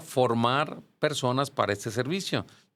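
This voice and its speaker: A man speaks in a normal speaking voice at a medium pitch with ordinary pitch variation. The recording is very clean, with a silent background. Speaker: church music teacher and choir director. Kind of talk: podcast interview.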